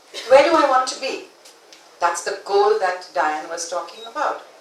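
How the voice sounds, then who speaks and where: A woman speaks at a fairly slow pace with a fairly high pitch. Some room echo can be heard. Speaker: conference speaker. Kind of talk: conference talk.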